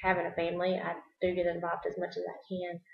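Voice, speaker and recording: The speaker is a woman with a Southern US accent. Her pitch is fairly low. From US South, South Carolina. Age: 30s. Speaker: nurse. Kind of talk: self-introduction video. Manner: halting.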